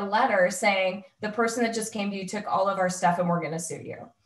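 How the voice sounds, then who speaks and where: Audible room echo surrounds a woman speaking at a fairly quick pace with fairly even intonation. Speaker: employment lawyer. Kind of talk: webinar presentation.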